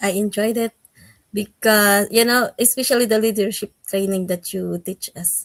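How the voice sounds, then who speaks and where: A woman with a Filipino accent talks at a moderate pace and medium pitch, her intonation fairly even. The sound is dry and close, with no echo. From Philippines. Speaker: school teacher. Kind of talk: interview. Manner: halting.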